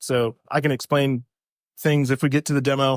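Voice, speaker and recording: A soft-spoken man with a fairly high pitch is heard on a very clean recording with a silent background, the sound dry and close with no echo. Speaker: software developer, conference speaker. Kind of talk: conference talk. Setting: stage with audience. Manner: normally soft-spoken, projecting now; casual, slightly halting.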